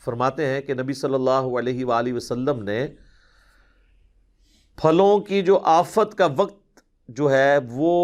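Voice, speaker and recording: Over a quiet background, a man speaks in a fairly high, unremarkable speaking voice. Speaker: Islamic scholar answering questions. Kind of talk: religious lecture, Q&A session.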